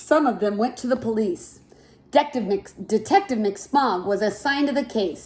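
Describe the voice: Pitch varies in an ordinary way through this plain reading aloud.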